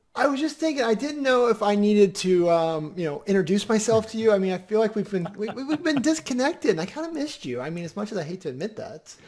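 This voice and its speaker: Over noticeable background noise, a squeaky voice rushes at a very fast pace with hardly any pauses and very wide pitch swings. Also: man, high pitch for a man. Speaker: podcast co-host. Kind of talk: casual chat. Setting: live video stream.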